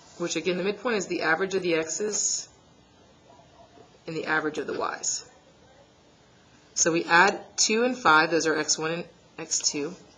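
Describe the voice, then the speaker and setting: With long, frequent pauses, a woman speaks at a fairly low pitch with ordinary pitch variation. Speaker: math teacher. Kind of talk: tutorial. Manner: fast.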